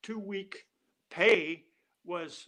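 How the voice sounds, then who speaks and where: A man's raised, projected voice, high in pitch with a bright, sharp tone. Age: 80s+. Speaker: Air Force veteran. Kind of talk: interview answer.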